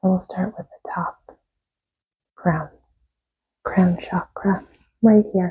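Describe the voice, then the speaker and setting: Soft-spoken and somewhat breathy, a woman with a medium-pitched voice and a dark, mellow, calm tone speaks very slowly in a flat monotone, with long, frequent pauses and big swings in loudness. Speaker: tarot reader and reiki practitioner. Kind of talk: guided meditation. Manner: calm, slow.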